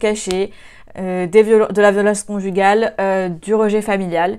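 A woman talks at a fairly slow pace in a monotone, flat intonation at medium pitch, over a quiet background. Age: 20s. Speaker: student video presenter; presenter. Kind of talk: casual video review. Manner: hesitant, many filler sounds. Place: home room. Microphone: lapel.

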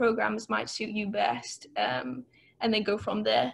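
In a Welsh accent, a woman speaks with a fairly high pitch. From Wales. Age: 20s. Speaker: master's student, scholarship recipient. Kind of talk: webinar talk about personal experience. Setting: video call. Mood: friendly, encouraging. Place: home room. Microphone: earbuds.

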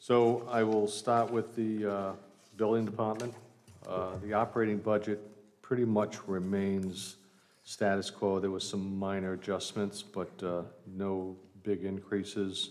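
A man talks at a fairly slow pace in a fairly low pitch with monotone, flat intonation. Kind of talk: budget presentation. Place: hall. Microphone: podium.

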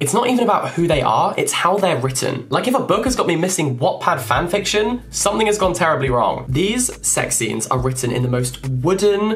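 A man at a fairly quick pace, hardly any pauses, and very wide pitch swings. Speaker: book vlogger. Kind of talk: casual vlog chat, book review. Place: home room.

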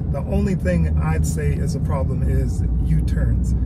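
Loud background noise sits behind a man's voice. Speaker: truck reviewer. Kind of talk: casual vlog chat. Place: car. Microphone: phone near.

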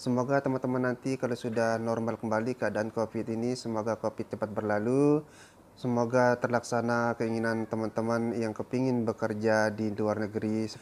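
Fairly quick, monotone, flat speech from a man over light background noise. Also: medium pitch for a man, hardly any pauses. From Lombok, Indonesia. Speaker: vlogger and migrant worker in Brunei. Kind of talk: casual storytelling to camera. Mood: calm, reflective. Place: home room. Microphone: lapel.

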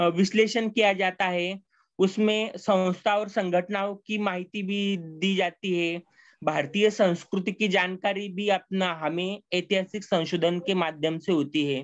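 Over a quiet background, a man with a Marathi accent talks in a high pitch with fairly even intonation. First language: Marathi (speaking Hindi). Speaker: lecturer. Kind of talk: lecture. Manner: halting, many fillers.

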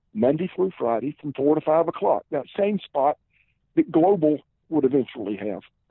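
With a Southern US accent, a man speaks at a fairly high pitch. His intonation is lively and his pace moderate. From South Carolina, Columbia. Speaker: former football player and pro wrestler. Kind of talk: interview. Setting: phone call.

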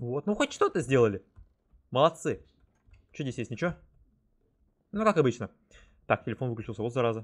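Against a quiet background, the voice has lively intonation and a fairly quick pace. Long pauses come often. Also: man. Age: 20s. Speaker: gaming YouTuber; streamer. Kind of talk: gameplay commentary; casual gameplay commentary. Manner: casual, hesitant with filler sounds. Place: home room.

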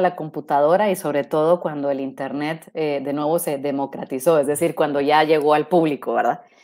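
Over a quiet background, a woman speaks at a moderate pace in a very deep, low pitch with a dark, mellow tone. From Guatemala. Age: 40s. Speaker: robotics engineer; guest. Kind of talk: interview. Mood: friendly, relaxed. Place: home room.

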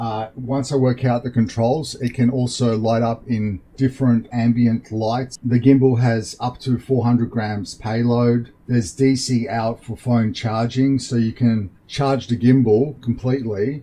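Somewhat breathy, a man speaks fairly slowly in monotone, flat intonation. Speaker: tech reviewer. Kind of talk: unboxing commentary. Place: home room. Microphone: studio mic.

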